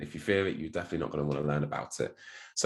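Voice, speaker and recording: With a British accent and ordinary pitch variation, a man speaks over a quiet background. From United Kingdom. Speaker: crypto marketing executive and speed reading coach. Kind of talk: podcast interview.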